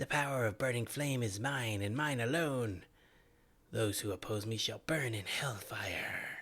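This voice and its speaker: In a put-on character voice, the speaker holds a low-to-middle pitch at a moderate pace on a very clean recording with a silent background. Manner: menacing, booming.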